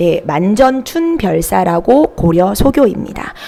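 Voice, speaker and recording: There is noticeable background noise as a woman talks with very wide pitch swings. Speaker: Korean literature tutor. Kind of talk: online lecture.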